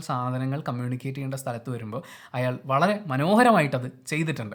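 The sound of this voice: A man talks at a fast pace. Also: fairly bright tone.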